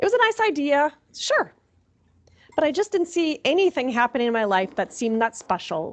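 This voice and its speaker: A woman in a Minnesota accent, very wide pitch swings, quiet background. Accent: Minnesota, long vowels. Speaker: chaplain. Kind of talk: sermon.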